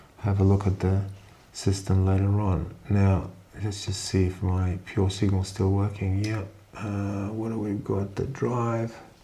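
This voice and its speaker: A man with a fairly low pitch speaks at a fairly slow pace in a monotone, flat intonation. Audible room echo and noticeable background noise surround his voice. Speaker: amateur radio operator. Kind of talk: tutorial.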